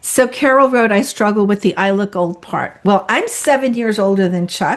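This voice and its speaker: A woman speaks at a moderate pace with an animated tone and ordinary pitch variation. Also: medium pitch for a woman. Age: 60s. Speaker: realtor and webinar co-host. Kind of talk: casual chat.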